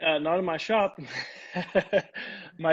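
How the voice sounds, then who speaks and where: With an American accent, a man speaks at a fairly slow pace. His pitch is high and his intonation fairly even. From London, England. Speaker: furniture maker. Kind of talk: casual chat. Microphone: glitchy wireless connection.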